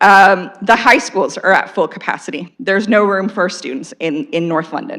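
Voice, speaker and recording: A woman's medium-pitched voice with a Canadian accent, at a fairly quick pace. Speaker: local resident and school council parent. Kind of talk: public comment at council meeting. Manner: loud.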